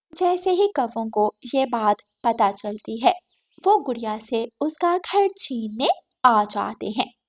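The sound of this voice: On a very clean recording with a silent background and a dry, close sound with no echo, a woman speaks slowly in a fairly high voice with lively intonation.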